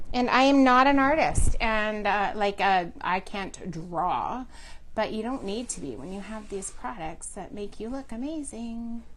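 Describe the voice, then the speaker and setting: In a room with audible echo, a woman with a Canadian accent speaks in a fairly high voice, her intonation lively and her loudness swinging widely. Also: fairly slow pace. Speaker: furniture painting and crafts demonstrator. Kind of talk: live craft tutorial. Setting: live stream from a shop. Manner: casual, chatty with filler words.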